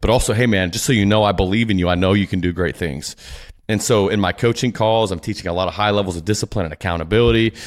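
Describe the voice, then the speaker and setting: Speaking at a very fast pace, a man with a fairly low pitch keeps his intonation fairly even on a very clean recording with a silent background. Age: 30s. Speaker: military veteran and entrepreneur. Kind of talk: casual interview.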